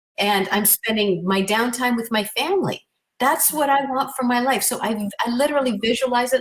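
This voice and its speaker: A woman talks at a fairly quick pace in an animated tone. Her pitch is fairly high, with ordinary variation. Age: 60s. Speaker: transformation coach. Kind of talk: interview.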